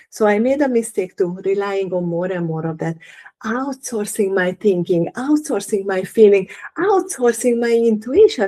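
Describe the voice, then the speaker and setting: Lively intonation runs through the speech, delivered at a moderate pace. The speaker has a non-native accent. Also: woman, medium pitch for a woman. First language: not English. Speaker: holistic living coach. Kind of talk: live workshop talk. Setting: livestream.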